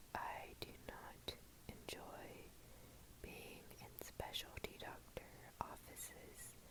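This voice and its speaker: Someone whispers in an American accent at a very slow pace, with long, frequent pauses. Noticeable background noise runs underneath. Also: woman. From Texas, USA. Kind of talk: ASMR whisper ramble. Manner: whispered, slow, soft.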